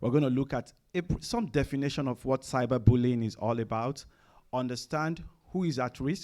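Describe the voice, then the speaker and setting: A man speaks at a medium pitch in a dark, mellow tone, with ordinary pitch variation. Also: moderate pace. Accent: Nigerian. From Nigeria. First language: Nigerian languages. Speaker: chief information officer, presenter. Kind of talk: conference presentation. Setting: room with live audience. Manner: hesitant, many fillers.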